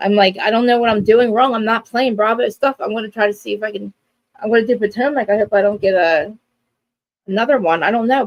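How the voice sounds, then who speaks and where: In a New Jersey accent, a woman with a fairly high pitch talks at a very fast pace in an animated tone with ordinary pitch variation, in a dry, close sound with no echo. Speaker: live stream co-host, reality TV recapper. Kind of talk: casual chat. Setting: live stream.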